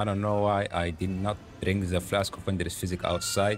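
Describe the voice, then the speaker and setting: A man speaks in a non-native accent at a moderate pace. His pitch sits fairly low. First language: not English. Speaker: gaming YouTuber. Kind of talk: gameplay commentary. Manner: animated.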